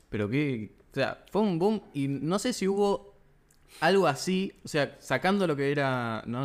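A man speaks with a Rioplatense accent. His intonation is lively. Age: 20s. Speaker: podcast host. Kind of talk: interview.

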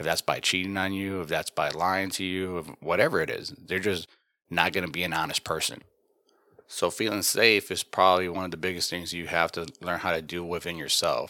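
A man talks at a fairly quick pace in a very deep, low voice with a bright, sharp tone. The recording is very clean, with a silent background. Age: 40s. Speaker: podcast host. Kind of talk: casual monologue. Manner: casual, conversational.

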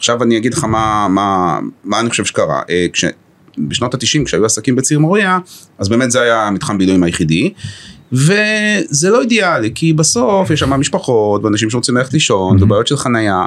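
Pitch swinging very widely, a man speaks at a fairly quick pace. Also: medium pitch for a man. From Israel, Haifa. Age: 50s. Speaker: chief executive of a municipal economic company. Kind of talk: podcast interview.

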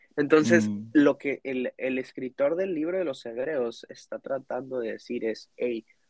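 A plain, everyday voice, dry and close with no echo, ordinary pitch variation and a fairly slow pace. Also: man. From Mexico. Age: 20s. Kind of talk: casual faith conversation.

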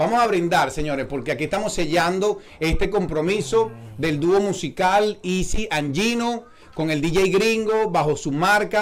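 The speech has ordinary pitch variation, with noticeable background noise. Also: man. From eastern Venezuela, Puerto La Cruz. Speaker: podcast host. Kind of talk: casual chat. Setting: studio. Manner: animated.

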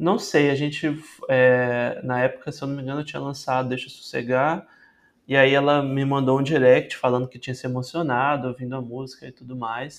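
A man at a moderate pace, flat and monotone in intonation, with big swings in loudness. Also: medium pitch for a man. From Espírito Santo, Brazil (Vitória). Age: 20s. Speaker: singer-songwriter. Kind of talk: interview.

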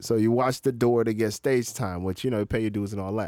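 A man with a plain, everyday voice, medium pitch and an American accent, in a dry, close sound with no echo and a very clean recording with a silent background. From Florida, US. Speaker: stand-up comedian. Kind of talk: casual chat. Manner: laid-back, slangy.

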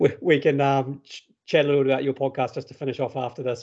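Speaking at a very fast pace, a man with a New Zealand accent has a fairly high pitch. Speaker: podcast host, father. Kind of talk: casual interview.

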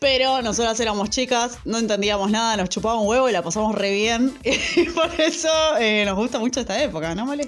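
A woman speaks at a fairly quick pace in a fairly high voice. Her intonation is lively. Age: 30s. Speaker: podcast co-host. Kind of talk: casual chat.

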